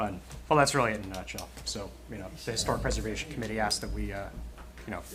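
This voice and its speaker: A man at a very fast pace, with long, frequent pauses, audible room echo and noticeable background noise. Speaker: township committee member. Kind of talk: public meeting discussion. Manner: soft-spoken.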